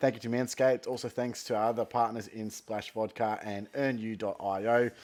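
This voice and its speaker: In an Australian accent, a man is talking. His intonation stays monotone and flat. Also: medium pitch for a man, fairly quick pace. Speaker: fantasy football podcast host. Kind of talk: casual solo talk. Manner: lethargic.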